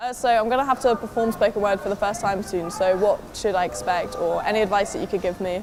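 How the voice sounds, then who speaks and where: Very fast delivery with fairly even intonation over noticeable background noise. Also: woman, medium pitch for a woman. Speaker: journalism student trying spoken word. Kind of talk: casual interview chat.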